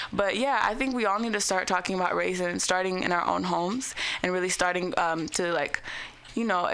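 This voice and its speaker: A woman talks at a fairly quick pace and medium pitch, with ordinary pitch variation and very even loudness. There is audible room echo and noticeable background noise. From San Francisco Bay Area. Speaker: rapper. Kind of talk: radio interview.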